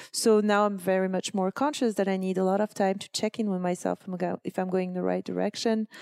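In a French accent, a woman talks very fast at a medium pitch with hardly any pauses, the sound dry and close with no echo. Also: fairly even intonation. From France. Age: 40s. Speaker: blogger and entrepreneur. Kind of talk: casual interview.

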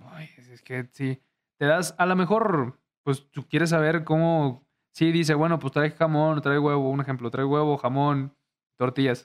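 A man's normal speaking voice, fairly high in pitch and fairly slow, with fairly even intonation but big swings in loudness. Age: 20s. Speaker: YouTuber. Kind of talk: casual chat.

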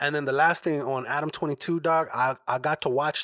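A man talks at a moderate pace in a normal speaking voice, fairly high in pitch. The sound is dry and close with no echo, and the recording is very clean with a silent background. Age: 30s. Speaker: podcast host and editor. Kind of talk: casual chat.

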